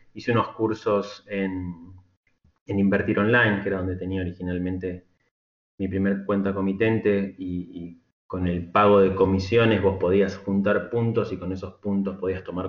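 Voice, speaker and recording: Very deep, low-pitched male speech, fairly slow and monotone, with flat intonation. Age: middle-aged. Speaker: software engineer turned market trader. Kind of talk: interview conversation. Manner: halting, repeats words.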